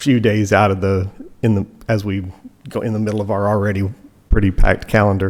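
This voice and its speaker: Very fast, flat, monotone speech in a Kentucky accent, broken by long, frequent pauses. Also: man, fairly low pitch for a man. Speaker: tennis coach speaking at public meeting. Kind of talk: public comment at township meeting. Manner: halting, repeats words.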